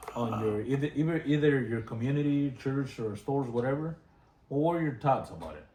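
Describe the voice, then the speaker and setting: Over noticeable background noise, a man with a fairly high voice talks at a fairly quick pace, his loudness swinging widely while his pitch varies in an ordinary way. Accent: Spanish. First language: Spanish. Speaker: interviewer. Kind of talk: bilingual interview with translation. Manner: halting.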